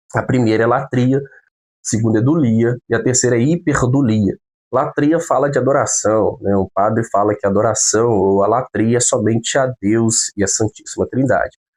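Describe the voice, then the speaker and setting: This man has a normal speaking voice, with ordinary pitch variation and very even loudness at a moderate pace. The sound is dry and close, with no echo. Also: medium pitch for a man. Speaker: theology teacher. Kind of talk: lecture.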